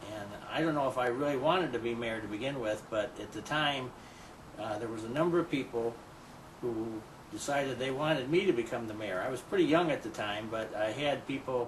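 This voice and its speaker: In an American accent, a man talks at a fairly quick pace with medium pitch and ordinary pitch variation, amid audible room echo and noticeable background noise. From US Midwest, Batavia, Illinois. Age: 60s. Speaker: mayor. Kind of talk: interview. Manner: halting.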